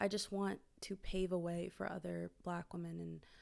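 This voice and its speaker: At a fairly slow pace, a woman talks with an American accent. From Maryland, US. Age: 20s. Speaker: singer-songwriter. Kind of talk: casual vlog monologue. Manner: hesitant, filler-heavy.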